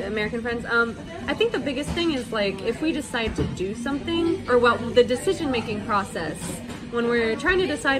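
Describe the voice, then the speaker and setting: A woman talking at a fairly quick pace over clear music in the background. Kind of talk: interview answer.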